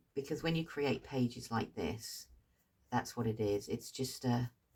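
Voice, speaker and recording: In a British accent, a woman speaks with a dark, mellow and relaxed tone. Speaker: craft tutor. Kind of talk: tutorial. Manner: hesitant fillers; slow, relaxed.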